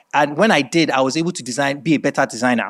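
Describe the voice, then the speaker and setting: The speaker is a man with an American accent. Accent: Nigerian accent, code-switches to American. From Nigeria. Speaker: creative director and fashion designer. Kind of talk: masterclass talk. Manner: hesitant, many fillers.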